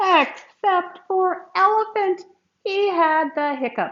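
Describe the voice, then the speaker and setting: A woman does a squeaky put-on character voice at an extremely high pitch. She talks at a very slow pace with ordinary pitch variation. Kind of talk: classroom read-aloud. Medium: read story. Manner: warm, gentle, good-humoured.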